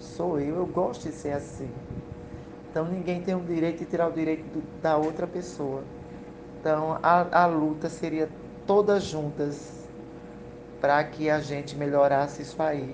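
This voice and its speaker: Her voice very deep and low, a woman speaks fairly slowly in a flat monotone with long, frequent pauses, amid audible room echo and noticeable background noise. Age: 40s. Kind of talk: interview.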